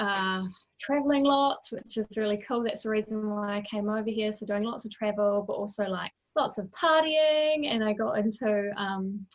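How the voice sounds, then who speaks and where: Speaking with a New Zealand accent, a woman talks at a moderate pace with a fairly high pitch and ordinary pitch variation. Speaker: mental wellbeing coach. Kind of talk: interview conversation.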